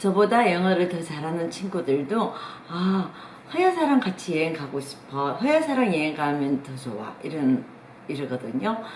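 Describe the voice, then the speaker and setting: A woman talks at a moderate pace in a fairly low voice with very wide pitch swings. Noticeable background noise and audible room echo surround her. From South Korea. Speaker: travel YouTuber. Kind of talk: casual advice talk. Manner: hesitant fillers.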